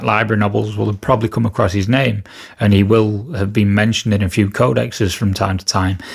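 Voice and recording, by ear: With fairly even intonation, the voice shows vocal fry and a slightly husky edge. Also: man.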